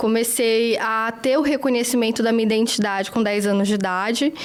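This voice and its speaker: A woman with a fairly high pitch and fairly even intonation talks at a moderate pace against noticeable background noise. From Brazil, northern region (Acre / Rondônia). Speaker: journalist. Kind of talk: interview.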